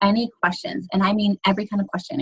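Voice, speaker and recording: Somewhat breathy and medium in pitch, a woman talks at a very fast pace. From New York. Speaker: fitness team coach. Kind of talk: team conference call briefing. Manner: casual, filler-heavy.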